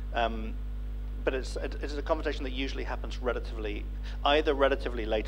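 Over noticeable background noise, a man with a very deep, low pitch talks at a very fast pace. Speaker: writer, editor and translator. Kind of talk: panel discussion. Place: stage. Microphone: handheld.

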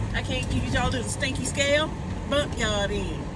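Loud noise fills the background. The sound is dry, with no echo. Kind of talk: casual vlog chat. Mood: annoyed but joking. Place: car. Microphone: phone near.

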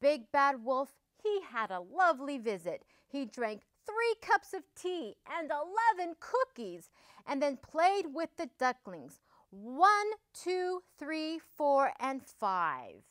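A woman talks very slowly in a high voice, her pitch swinging very widely and her loudness rising and falling sharply. The background is quiet. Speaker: storybook reader. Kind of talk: children's story reading. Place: studio. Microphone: lapel.

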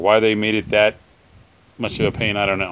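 With light background noise behind him, a man with an ordinary speaking voice talks at a fairly low pitch. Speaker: hobby tractor restorer. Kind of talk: casual repair vlog. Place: garage. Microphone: phone near.

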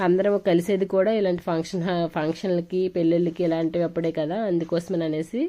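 A woman speaks in a fairly low voice with a flat, monotone delivery. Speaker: vlogger. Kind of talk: vlog narration.

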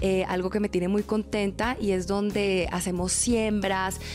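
A woman speaks with a Bogotá accent at a medium pitch. Clear music plays behind her. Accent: Bogotá Colombian Spanish. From Bogotá, Colombia. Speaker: TV presenter and model. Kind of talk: interview answer. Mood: cheerful, smiling. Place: home room. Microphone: handheld.

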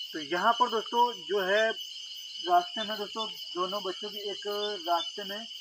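A man speaks very slowly in a raised, projected voice. Noticeable background noise runs behind him. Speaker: YouTube ghost-story host. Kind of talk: storytelling vlog to camera. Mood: earnest, storytelling tone. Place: open country. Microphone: handheld.

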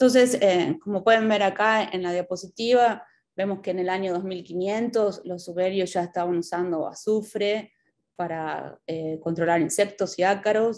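Speaking at a fairly slow pace, a woman talks in a Rioplatense accent with fairly even intonation. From Buenos Aires, Argentina. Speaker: extension educator and agronomist. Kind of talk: lecture. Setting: video call. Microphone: video call.

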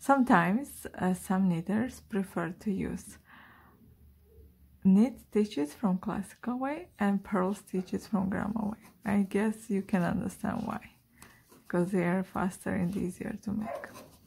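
A woman's medium-pitched voice, slightly mellow in tone, with a husky, rough edge and vocal fry, at a fairly slow pace with ordinary pitch variation

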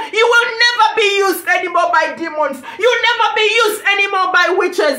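A woman's raised, projected voice at a fairly quick pace, with ordinary pitch variation and audible room echo. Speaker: ministry preacher. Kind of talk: sermon. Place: home room. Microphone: phone near.

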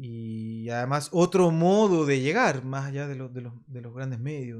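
The pace is fairly slow. Behind the voice, all is quiet. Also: man. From Chile, Santiago (Maipú); Chile. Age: 50s. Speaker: rock drummer; guest. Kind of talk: casual interview. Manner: halting. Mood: relaxed, animated storytelling. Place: studio. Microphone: studio mic.

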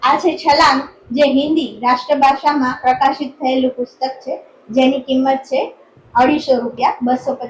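A woman's high-pitched voice with fairly even intonation, over noticeable background noise. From Gujarat, Jamnagar district. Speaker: writer and teacher. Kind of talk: interview.

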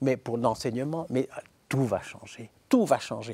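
A man talks at a moderate pace with medium pitch. His tone is dark and mellow. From Belgium. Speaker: philosopher and professor; talk show guest. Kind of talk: interview. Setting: studio. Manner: hesitant with repetitions. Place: studio. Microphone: lapel.

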